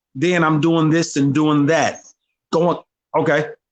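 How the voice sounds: A man's fairly high pitch at a fairly slow pace, with fairly even intonation.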